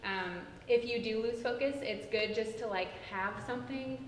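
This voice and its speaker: Amid noticeable background noise and audible room echo, a woman talks at a fairly high pitch and moderate pace with ordinary pitch variation. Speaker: tutoring program trainer. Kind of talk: training presentation.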